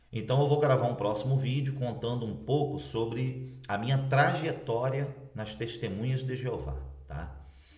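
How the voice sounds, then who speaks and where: A man talks at a fairly slow pace with a medium pitch and fairly even intonation. Audible room echo and noticeable background noise are present. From Brazil, Cabo Frio, Rio de Janeiro state. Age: 40s. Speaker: former Jehovah's Witness elder, video blogger. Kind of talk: personal testimony to camera. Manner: casual, conversational.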